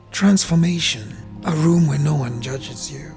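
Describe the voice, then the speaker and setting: Someone talks at a very slow pace with music in the background. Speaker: journaling channel host. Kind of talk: reflective monologue.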